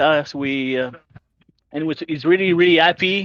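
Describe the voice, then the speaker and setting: Heard in a dry, close recording with no echo, a man with a Quebec accent speaks at a moderate pace in a fairly high voice with ordinary pitch variation. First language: French. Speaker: sim racing team member. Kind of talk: post-race interview. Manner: halting, many fillers.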